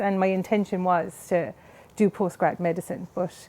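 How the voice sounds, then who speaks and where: In a Cork accent, a woman with a dark, mellow tone and medium pitch speaks at a moderate pace, the sound dry and close with no echo. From Ireland, Cork City. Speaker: scientist. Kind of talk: interview.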